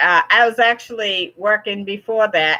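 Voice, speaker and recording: A woman talks in a normal speaking voice at a medium pitch and a moderate pace, with ordinary pitch variation. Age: 60s. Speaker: YouTuber hosting a live chat with viewers. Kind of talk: live stream chat reading viewer comments. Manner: casual, warm and encouraging.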